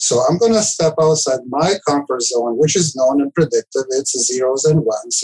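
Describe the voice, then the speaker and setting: A man with a Serbian accent talks at a fairly quick pace with hardly any pauses, his fairly high voice heard in a dry, close sound with no echo. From former Yugoslavia (Serbia). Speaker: IT director. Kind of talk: casual interview. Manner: halting.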